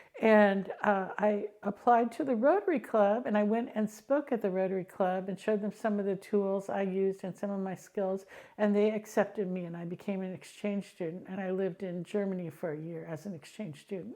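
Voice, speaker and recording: Talking fairly quickly with hardly any pauses, a woman with an American accent has a medium pitch, a dark, mellow tone and ordinary pitch variation. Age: 60s. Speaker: blind tech expert and educator. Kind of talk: interview. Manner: hesitant with frequent ums.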